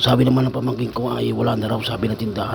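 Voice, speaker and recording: A man speaks at a medium pitch. Noticeable noise runs in the background. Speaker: vlogger. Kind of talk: casual vlog talk. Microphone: cheap earphone mic, voice quiet.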